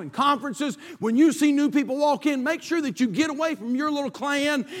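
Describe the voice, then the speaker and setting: Speaking at a fairly quick pace, a man with a North Carolina accent talks at an extremely high pitch. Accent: Southern US (North Carolina). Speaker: pastor. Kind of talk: sermon. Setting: church. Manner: halting, many fillers and repetitions.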